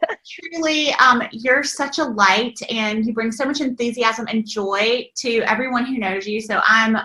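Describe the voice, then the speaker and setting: Noticeable background noise runs under the recording. A woman with a fairly high pitch speaks at a moderate pace. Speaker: online business mentor. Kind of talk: interview answer.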